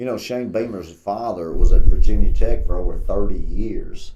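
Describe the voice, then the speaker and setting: At a moderate pace, a man talks with audible room echo around his voice. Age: 60s. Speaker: sports podcast co-host. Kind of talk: casual sports chat.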